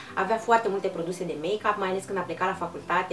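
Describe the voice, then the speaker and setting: A woman's voice over light background noise. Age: 30s. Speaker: beauty vlogger. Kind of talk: casual vlog monologue. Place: home room.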